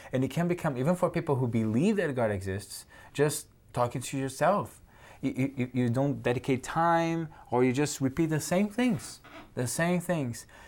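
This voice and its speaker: In a Brazilian accent, a man with a fairly high pitch and lively intonation speaks at a moderate pace, recorded very cleanly against a silent background. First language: Portuguese. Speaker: theology student. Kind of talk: religious discussion.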